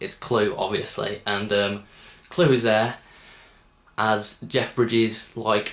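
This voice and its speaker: In a Birmingham accent, a man speaks at a very slow pace and fairly low pitch, with fairly even intonation and long, frequent pauses. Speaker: film reviewer. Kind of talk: casual film review. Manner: hesitant, many ums.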